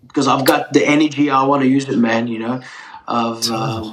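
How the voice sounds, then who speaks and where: A man speaks at a moderate pace and a medium pitch. His intonation is monotone and flat. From Turkey, raised in Melbourne Australia. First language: Turkish. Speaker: pizza chef. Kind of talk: casual interview chat. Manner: casual, friendly.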